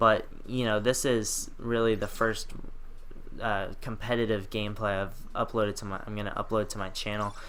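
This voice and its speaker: In a room with audible echo, a man with a fairly low pitch speaks with monotone, flat intonation. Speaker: gaming commentator. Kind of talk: live gameplay commentary. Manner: fast.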